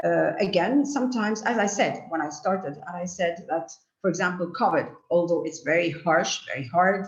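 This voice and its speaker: A woman speaks at a moderate pace with lively intonation, and audible room echo surrounds her voice. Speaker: lecturer. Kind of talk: lecture. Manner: halting. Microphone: too far from mic, too quiet.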